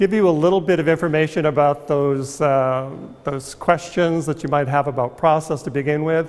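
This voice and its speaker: Ordinary pitch variation runs through a man's speech, delivered at a moderate pace. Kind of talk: artist talk to audience. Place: hall.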